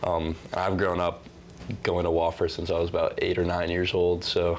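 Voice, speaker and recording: Speaking in an American accent, a man has a very deep, low pitch. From US South, South Carolina (Greenville). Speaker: student athlete. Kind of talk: casual interview.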